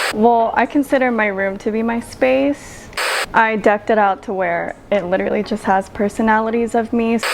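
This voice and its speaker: Soft-spoken at a moderate pace, the voice has ordinary pitch variation over noticeable background noise. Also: woman, fairly high pitch for a woman. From Philippines. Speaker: singer-songwriter. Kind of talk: interview answer.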